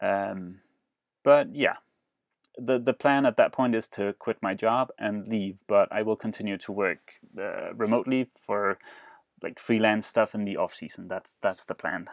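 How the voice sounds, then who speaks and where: A man at medium pitch with a non-native accent, fairly slow pace and ordinary pitch variation, dry and close with no echo over a quiet background. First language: not English. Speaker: sailing vlogger and boat rebuilder. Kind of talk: live stream Q&A. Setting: live stream broadcast. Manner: hesitant, many fillers.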